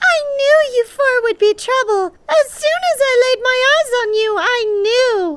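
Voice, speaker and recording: A put-on character voice sounds female, squeaky and extremely high. It moves at a fairly slow pace with hardly any pauses. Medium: audio drama. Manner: sly, condescending.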